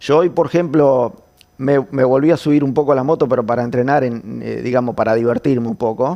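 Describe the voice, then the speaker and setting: A man talks at a fairly quick pace. His pitch is medium, with ordinary variation. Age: 60s. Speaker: former motorcycle racer. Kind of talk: interview conversation. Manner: halting, repeats words.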